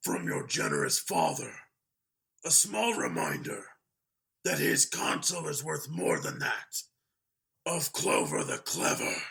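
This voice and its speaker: A man puts on a raspy character voice with a fairly high pitch. He talks at a fairly slow pace with long, frequent pauses. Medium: read story. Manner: cold, menacing, condescending.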